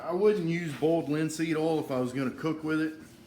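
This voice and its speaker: Audible room echo surrounds a man who speaks with a strong Southern US accent and fairly even intonation. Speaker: woodworking YouTuber. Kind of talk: tutorial. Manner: casual, halting with fillers.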